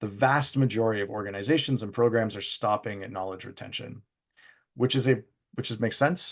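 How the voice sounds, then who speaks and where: A man with a Canadian accent talks at a fairly quick pace and a medium pitch, with ordinary pitch variation. His loudness swings widely over a quiet background. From Canada. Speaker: business executive presenting on training impact. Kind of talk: webinar presentation. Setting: live virtual event. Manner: fast.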